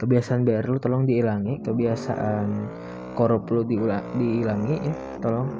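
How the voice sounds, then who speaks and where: A man speaks softly at a moderate pace. His pitch sits in the middle range, with a dark, mellow tone. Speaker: gaming vlogger. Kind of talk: casual vlog monologue. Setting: recording at dawn while riding. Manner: soft-spoken. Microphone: voice recorded quiet.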